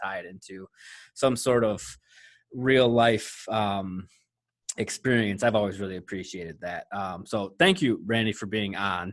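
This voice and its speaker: Recorded very cleanly against a silent background, a man speaks in a Michigan accent with fairly even intonation. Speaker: podcast host. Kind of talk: podcast interview.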